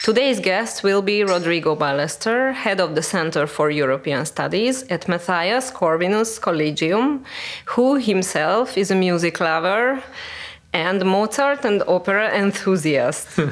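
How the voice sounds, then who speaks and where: In a plain, everyday voice, a woman speaks at a fairly slow pace and a medium pitch, with lively intonation and very even loudness. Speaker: podcast host. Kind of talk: interview conversation.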